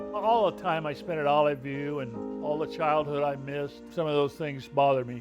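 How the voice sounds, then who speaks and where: A man with an American accent, fairly high in pitch, at a moderate pace over music in the background. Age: 80s+; old. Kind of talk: interview answer.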